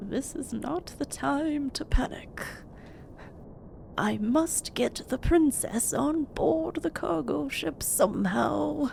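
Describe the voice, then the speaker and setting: A woman's whispering in a put-on character voice, at a very slow pace, over clear background noise. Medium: game stream. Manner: stiff, formal and blustering.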